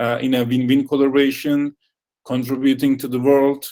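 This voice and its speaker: With a non-native accent, a man talks in a fairly high voice. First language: not English. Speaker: company representative. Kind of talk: closing speech. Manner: halting.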